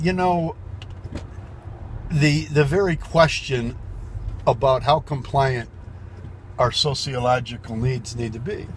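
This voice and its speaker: A man speaks at a very slow pace with long, frequent pauses. His somewhat breathy voice sits at a medium pitch with ordinary pitch variation. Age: 70s. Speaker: political blogger. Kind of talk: casual monologue. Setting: in a car. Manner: halting.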